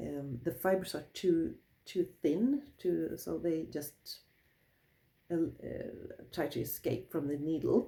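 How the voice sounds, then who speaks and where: A woman speaks very slowly with a Swedish accent, her dark, mellow tone carrying vocal fry. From Sweden. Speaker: wool crafter, craft teacher. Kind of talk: tutorial. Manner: halting.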